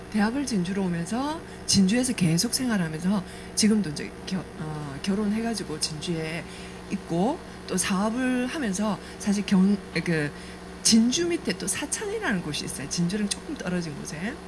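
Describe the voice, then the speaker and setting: A woman talks at a moderate pace with a slight Gyeongsang accent and medium pitch. Her intonation is lively, and there is noticeable background noise. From South Korea, Namhae (Gyeongsang). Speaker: network marketing business speaker. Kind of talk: business presentation with life story. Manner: conversational, hesitant fillers.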